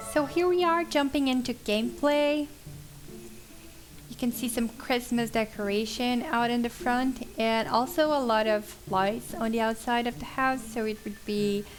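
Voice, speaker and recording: The speech comes in a Portuguese accent with a relaxed tone. It moves at a fairly slow pace with ordinary pitch variation. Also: woman, high pitch for a woman. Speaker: gaming YouTuber. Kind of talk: voiceover commentary on gameplay. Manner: casual, relaxed.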